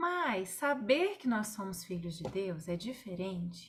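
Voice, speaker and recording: Soft-spoken and somewhat breathy, a woman talks at a very slow pace. Her medium pitch makes very wide swings. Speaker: Bible study leader. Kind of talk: online Bible study. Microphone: too quiet.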